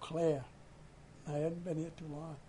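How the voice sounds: Speaking with a Maine accent, a man has a fairly high pitch and a dark, mellow tone. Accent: Maine, New England.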